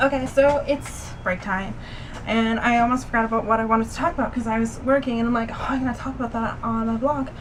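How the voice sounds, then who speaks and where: A woman talks at a very fast pace with a fairly high pitch and fairly even intonation. Audible room echo and noticeable background noise surround her voice. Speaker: vlogger. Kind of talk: casual vlog. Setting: outdoors in the shade. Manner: hesitant, many fillers.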